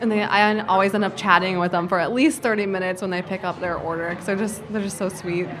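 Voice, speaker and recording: Over noticeable background noise, a woman at a medium pitch talks at a very fast pace with hardly any pauses and fairly even intonation. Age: 20s. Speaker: small business owner. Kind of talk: casual interview.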